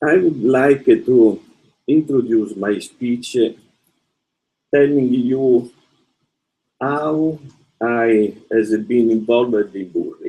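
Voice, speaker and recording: Slowly, with long and frequent pauses, a man speaks in a dark, mellow tone. His pitch is medium, with ordinary variation. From Italy. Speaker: professor. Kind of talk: lecture. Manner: halting.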